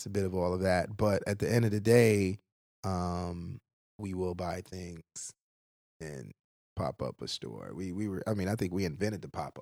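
A man with a very deep, low voice, a dry, close sound with no echo, and long, frequent pauses. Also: ordinary pitch variation, moderate pace. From Brooklyn, New York (born in Haiti). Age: 40s. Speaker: fashion brand founder. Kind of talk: casual interview chat.

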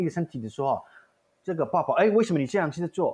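Pitched high, a man talks with lively intonation. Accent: slight Taiwanese. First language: Indian language (speaking Chinese). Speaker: theatre artistic director. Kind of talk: casual chat. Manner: halting; code-switching with English.

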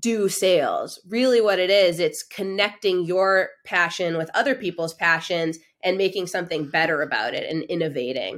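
In an unremarkable speaking voice, a woman with a medium pitch and lively intonation talks at a moderate pace on a very clean recording with a silent background. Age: 30s. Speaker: sales coach and consultant. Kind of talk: casual interview.

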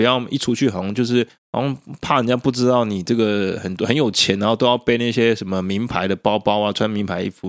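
Over a silent background in a very clean recording, a man talks at a very fast pace and medium pitch. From Taiwan. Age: 30s. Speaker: podcast host. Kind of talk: solo monologue podcast.

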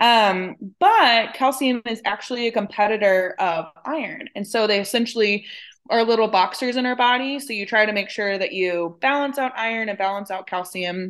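In an ordinary speaking voice, a woman with an American accent talks at a moderate pace and a fairly high pitch over a quiet background. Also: ordinary pitch variation. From West Texas (San Angelo). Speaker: dietitian. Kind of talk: casual interview.

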